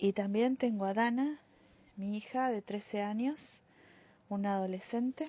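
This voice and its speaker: A woman's medium-pitched voice, dark and mellow in tone, at a very slow pace with ordinary pitch variation. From Argentina, Buenos Aires area (Bernal). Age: 50s. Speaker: social worker giving church testimony. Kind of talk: testimony. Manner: hesitant with many fillers.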